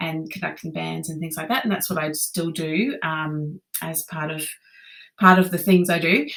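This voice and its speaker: A woman talks with an Australian accent. Her pace is moderate and her intonation fairly even. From Australia, Brisbane, Queensland. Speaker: conductor and music teacher. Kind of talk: podcast interview. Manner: hesitant, many fillers.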